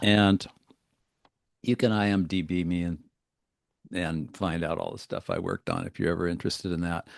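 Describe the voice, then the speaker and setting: A man with an American accent talks at a fairly quick pace in a very deep, low voice, with fairly even intonation and long, frequent pauses. The sound is dry and close with no echo, and the background is quiet. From US Northeast (Western Pennsylvania). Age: 70s. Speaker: wellness and fitness coach, author. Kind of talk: interview conversation.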